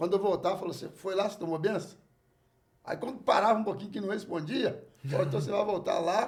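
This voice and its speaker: This man's voice is high-pitched, with ordinary variation in pitch. His speech races along at a very fast pace. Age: 60s. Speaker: jongo master. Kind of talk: casual chat.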